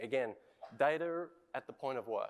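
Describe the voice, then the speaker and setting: A man with an Australian accent. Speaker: industry innovation lead. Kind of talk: conference presentation.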